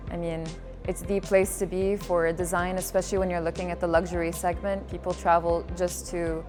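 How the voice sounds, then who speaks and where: Music plays behind a woman's voice. She speaks at a fairly quick pace. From UAE. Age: 20s. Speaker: student. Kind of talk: interview testimonial.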